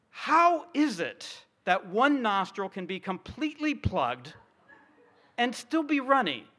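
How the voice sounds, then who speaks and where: A man's raised, projected voice at an extremely high pitch, bright and sharp in tone, with very wide pitch swings, a fairly slow pace and a very clean recording with a silent background. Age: 50s. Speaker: pastor. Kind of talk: sermon.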